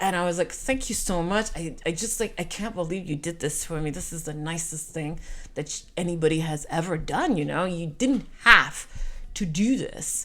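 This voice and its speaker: An animated woman with a bright, sharp tone and fairly low pitch, in a French Canadian accent. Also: ordinary pitch variation, moderate pace. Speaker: storyteller, podcaster. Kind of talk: personal storytelling.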